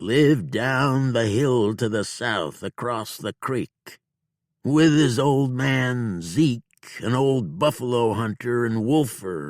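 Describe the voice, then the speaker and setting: A man puts on a character voice at a medium pitch, speaking at a very slow pace. The recording is very clean, with a silent background. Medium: read story. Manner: slow, self-reproaching.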